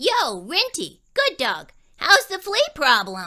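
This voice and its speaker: An extremely high, put-on character voice, female-sounding, at a fairly slow pace. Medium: read story. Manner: chatty, cheeky.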